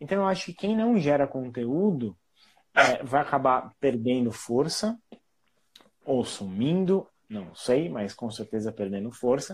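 Pausing long and often, a man speaks fairly slowly at a medium pitch with very wide pitch swings. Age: 30s. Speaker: marketing professional. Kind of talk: casual interview.

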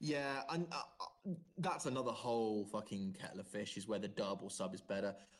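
A man talks at a fairly quick pace and a fairly low pitch, in a plain, everyday voice. His intonation is lively. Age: 20s. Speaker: podcast host. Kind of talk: casual chat.

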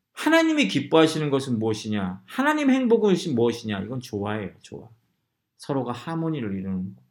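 With lively intonation and big swings in loudness, a man at a medium pitch talks at a fairly quick pace amid audible room echo. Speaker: pastor. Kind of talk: sermon. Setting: church. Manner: fast.

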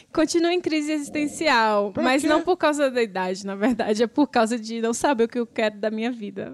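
With a plain, everyday voice, a woman talks at a fairly quick pace and fairly high pitch, with hardly any pauses. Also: lively intonation. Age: 30s. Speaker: podcast host. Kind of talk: casual chat.

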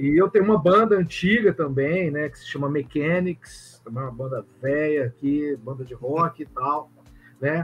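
Noticeable background noise behind a man with a fairly high pitch, ordinary pitch variation, a fairly slow pace, and big swings in loudness. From Goiânia, Brazil. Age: 50s. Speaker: comics publisher and cultural producer. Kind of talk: casual interview chat. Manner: hesitant, repeats words.

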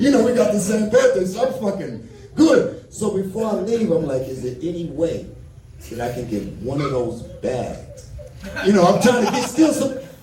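With a New York accent, a man talks in an animated tone at a moderate pace, his pitch high and swinging very widely, over noticeable background noise and audible room echo. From New York, the Bronx. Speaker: comedian. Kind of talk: stand-up. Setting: stage with audience.

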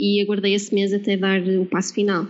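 A woman speaks in a Porto accent. Her pace is moderate. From northern Portugal, Porto. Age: 30s. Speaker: marketing and branding coach, former scientist. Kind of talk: interview.

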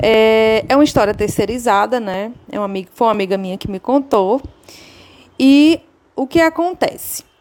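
A woman with a plain, everyday voice speaks at a moderate pace with a fairly high pitch. Her intonation is lively and her loudness swings widely. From Ceará, Brazil. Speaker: listener. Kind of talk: recorded voice message.

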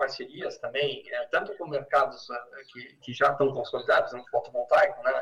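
A man at a moderate pace. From Porto Alegre, southern Brazil. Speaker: entrepreneur. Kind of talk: interview.

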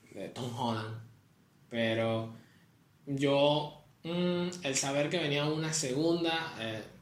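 A man with a fairly high pitch speaks at a very slow pace with long, frequent pauses. There is audible room echo. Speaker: podcast co-host. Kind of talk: casual chat.

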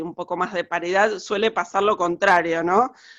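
This woman's voice sits at a medium pitch and moves with ordinary pitch variation. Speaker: costume designer. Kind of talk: interview. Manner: halting, many fillers.

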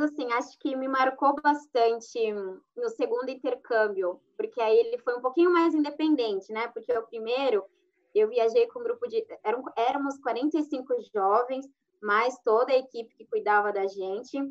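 A woman's high-pitched voice at a fairly slow pace, with lively intonation and big swings in loudness. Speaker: lawyer and former exchange student. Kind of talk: live stream panel talk.

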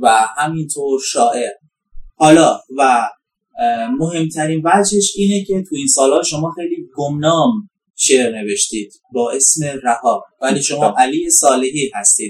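A man speaks in an ordinary speaking voice at a fairly slow pace. His pitch is fairly high, with lively intonation. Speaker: podcast host. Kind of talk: interview. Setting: outdoors. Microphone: poor sound quality.

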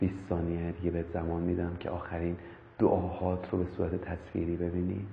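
At a fairly quick pace, a man with a very deep, low pitch speaks in a flat monotone, with audible room echo and noticeable background noise. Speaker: meditation instructor. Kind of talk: guided meditation. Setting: live stream. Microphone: far from the mic.

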